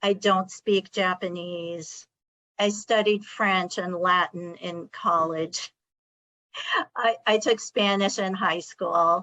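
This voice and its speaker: Very slow, fairly even speech in a bright, sharp tone with a Californian accent. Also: woman, medium pitch for a woman. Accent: California. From California, Sacramento. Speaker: college administrator. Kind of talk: discussion.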